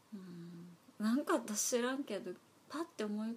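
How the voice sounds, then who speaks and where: Her voice is fairly high in pitch and somewhat breathy. The woman's pitch variation is ordinary. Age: 40s. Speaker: podcast co-host. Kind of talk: casual chat; news reading.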